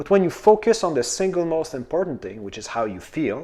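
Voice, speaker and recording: With a French accent, a man talks at a fairly quick pace in a fairly high pitch, his dark, mellow tone moving through very wide pitch swings. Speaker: manifestation coach. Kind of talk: casual video talk. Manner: halting, with repetitions and fillers.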